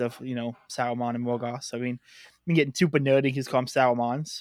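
A man's monotone, flat delivery at a very fast pace. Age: 20s. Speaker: podcast guest, podcaster and website editor. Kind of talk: casual chat. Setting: remote call. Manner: halting.

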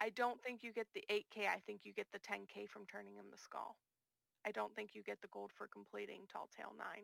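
A woman with an American accent speaks at a fairly quick pace, the sound dry and close with no echo. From US, small town where the first zombie film was made. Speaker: gaming podcast guest. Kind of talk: casual chat.

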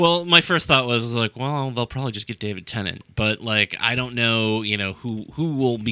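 Here a man talks at a moderate pace. His pitch is medium, with ordinary pitch variation. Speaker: podcast co-host. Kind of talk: casual chat. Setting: studio. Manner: halting.

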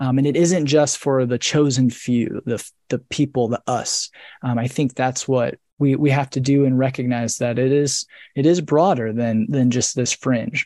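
A man's medium-pitched voice with an American accent, dark and mellow in tone, at a moderate pace with fairly even intonation, over a quiet background. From US Midwest, rural northern Indiana. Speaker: author and scholar. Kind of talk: interview on a live video book club. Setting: video call.

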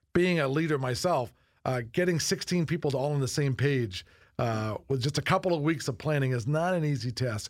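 In a very clean recording with a silent background, a man speaks in a somewhat breathy voice with ordinary pitch variation. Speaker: college president, podcast host. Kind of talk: interview conversation. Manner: conversational, hesitant with fillers.

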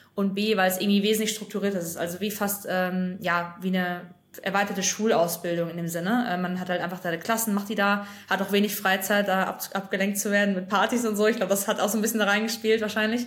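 Amid audible room echo, a woman talks at a very fast pace at medium pitch with monotone, flat intonation. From western Germany, North Rhine-Westphalia. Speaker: former investment banker and consultancy founder. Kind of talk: casual interview.

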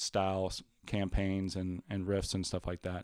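The speaker has a slight Louisiana accent. The pace is moderate. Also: man. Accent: slight Louisiana Southern. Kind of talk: casual chat about tabletop games.

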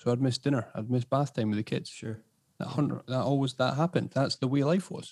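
Talking at a very fast pace in an Edinburgh accent, a man uses a dark, mellow tone at medium pitch with fairly even intonation. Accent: Scottish (Edinburgh). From Scotland, Edinburgh. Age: 30s. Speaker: podcast host and property business owner. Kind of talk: casual interview chat.

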